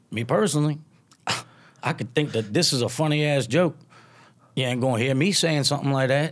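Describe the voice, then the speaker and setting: The speech moves at a fairly quick pace broken by long, frequent pauses, in a very clean recording with a silent background. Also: man, fairly high pitch for a man, ordinary pitch variation. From Louisiana. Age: 30s. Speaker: stand-up comedian. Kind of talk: casual chat. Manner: laid-back, casual.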